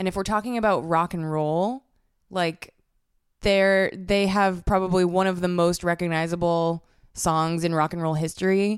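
On a very clean recording with a silent background, a woman with an American accent and an ordinary speaking voice talks at a moderate pace, her fairly low pitch held in fairly even intonation. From Massachusetts, north of Boston. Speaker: musician. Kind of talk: casual chat.

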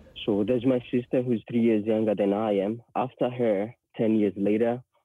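A man speaks at a moderate pace with a fairly low pitch, a slightly husky edge and fairly even intonation.

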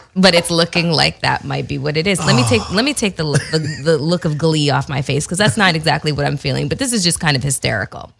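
Over noticeable background noise, a woman with a very deep, low pitch talks very fast with hardly any pauses and ordinary pitch variation. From Canada. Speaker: podcast co-host. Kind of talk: casual chat.

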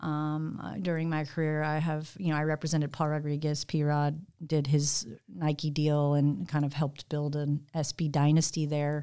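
A woman's very deep, low voice, dark and mellow, monotone and flat in intonation, at a moderate pace with an American accent, on a very clean recording with a silent background. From US Pacific Northwest. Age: 40s. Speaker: talent agent and former pro snowboarder. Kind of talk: casual chat. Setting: studio.

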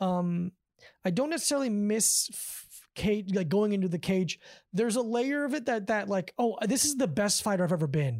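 A woman with an American accent has an ordinary speaking voice, medium-pitched with lively intonation, at a moderate pace in a very clean recording with a silent background. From Davie, South Florida. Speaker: comedian and martial arts trainer. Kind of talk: casual chat. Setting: host's living room.

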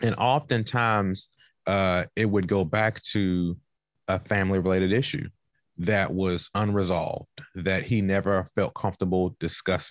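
An unremarkable speaking voice with an American accent moves at a moderate pace with ordinary pitch variation, dry and close with no echo over a quiet background. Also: man, fairly low pitch for a man. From Southeast Washington, D.C. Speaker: nonprofit leader and author. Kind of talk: lecture-style talk on a community call.

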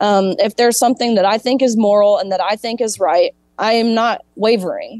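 A woman talks at a fairly quick pace with a fairly high pitch and ordinary pitch variation, in a normal speaking voice. The sound is dry and close, with no echo. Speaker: former college swimmer and activist. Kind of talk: interview.

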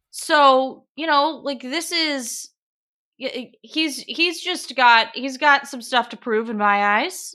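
A woman in an American accent projects her high, bright, sharp voice very slowly, with ordinary pitch variation. Her loudness swings widely over a quiet background. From Portland, Oregon. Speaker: sports anchor and reporter. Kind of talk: casual chat.

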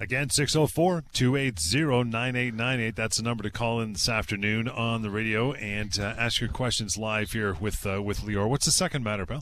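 With hardly any pauses, a man talks at a moderate pace and medium pitch in a normal speaking voice, his pitch varying in an ordinary way. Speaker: radio host. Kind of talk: radio call-in show. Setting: studio.

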